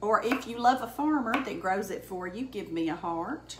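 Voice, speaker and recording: A woman talks at a fairly high pitch with lively intonation, in a Southern US accent. Her pace is moderate, with noticeable background noise. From Alabama. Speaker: home cook. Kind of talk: casual cooking demonstration to camera. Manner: chatty, friendly.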